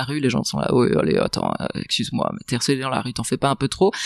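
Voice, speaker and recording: This woman's pitch is very deep and low, with vocal fry running through it. She talks at a very fast pace with lively intonation. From Belgium, province between Brussels and Charleroi. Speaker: author, journalist and film director. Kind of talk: podcast interview answer. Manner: articulate, literary phrasing.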